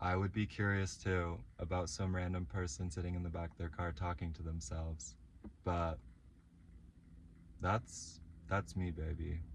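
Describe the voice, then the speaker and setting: At a moderate pace, a man with a very deep, low pitch and a somewhat breathy voice speaks with ordinary pitch variation and long, frequent pauses. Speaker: vlogger. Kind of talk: casual vlog monologue. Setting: in a parked car. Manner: frequent ums and likes.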